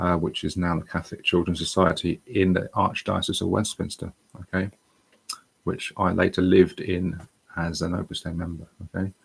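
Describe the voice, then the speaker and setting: A man with a British accent talks at a moderate pace in a very deep, low, somewhat breathy voice with fairly even intonation. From England. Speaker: online English tutor. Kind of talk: personal testimony livestream. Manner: halting, with many fillers.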